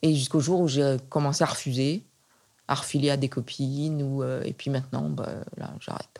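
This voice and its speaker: A woman's very deep, low-pitched voice, dark and mellow in tone, with fairly even intonation at a moderate pace, in a very clean recording with a silent background. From western France (Nantes). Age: 70s. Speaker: retired art historian. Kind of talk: interview. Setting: at home. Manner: halting with frequent repetitions.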